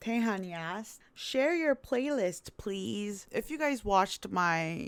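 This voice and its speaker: In a very clean recording with a silent background, a woman with a Korean accent lets her pitch swing very widely. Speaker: YouTuber and plus-size model. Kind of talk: casual Q&A vlog. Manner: casual, relaxed.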